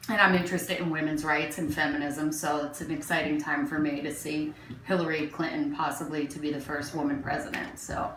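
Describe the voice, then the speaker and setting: With hardly any pauses and a fairly quick pace, a woman speaks in a very deep, low pitch and a monotone, flat intonation amid noticeable background noise and audible room echo. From Newark, New Jersey, US. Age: 40s. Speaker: interviewee neighbor. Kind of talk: casual interview.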